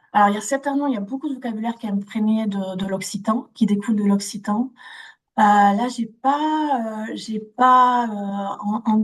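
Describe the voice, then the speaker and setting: Somewhat breathy and fairly high, a woman's voice with a southern French accent moves at a moderate pace with ordinary pitch variation. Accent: southern French (Toulouse). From Toulouse, southern France. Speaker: interviewee, former Toulouse resident. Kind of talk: casual interview. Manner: hesitant, many fillers and repetitions.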